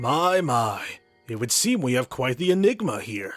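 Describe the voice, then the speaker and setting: A man's put-on character voice at a medium pitch, with very wide pitch swings and a moderate pace, over faint music in the background. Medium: game stream. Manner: formal, old-fashioned phrasing; knowing, wry.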